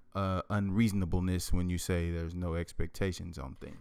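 Speaking at a fairly slow pace with fairly even intonation, a man uses a normal speaking voice, captured in a very clean recording against a silent background. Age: 20s. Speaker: podcast co-host, married couple. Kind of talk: casual chat.

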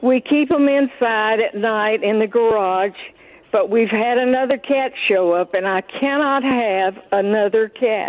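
A woman with a fairly high pitch speaks at a fairly slow pace, using ordinary pitch variation. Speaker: caller. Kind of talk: call-in question. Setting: phone call.

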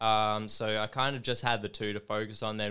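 A man's fairly low voice with a bright, sharp tone, on a very clean recording with a silent background. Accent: Australian. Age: 20s. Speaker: metal drummer and tattooist. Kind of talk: casual chat.

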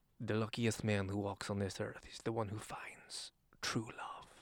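A man's raspy, put-on character voice, fairly low in pitch, at a moderate pace

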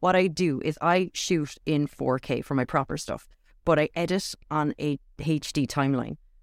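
A woman with a Cork accent speaks at a moderate pace in a very deep, low pitch, her intonation fairly even, on a very clean recording with a silent background. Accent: Cork Irish. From Ireland, Cork. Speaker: video coach. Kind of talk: interview on a live stream.

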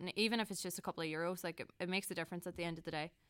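At a very fast pace, a woman with a fairly low pitch speaks on a very clean recording with a silent background. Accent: Donegal. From Ireland, County Donegal. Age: 20s. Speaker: student union candidate. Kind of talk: interview. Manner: hesitant.

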